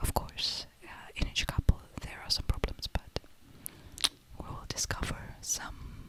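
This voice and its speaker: A woman whispers at a fairly slow pace, with long, frequent pauses, big swings in loudness and noticeable background noise. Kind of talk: ASMR whisper talk about movies. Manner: soft, whispered, slow, with hesitations.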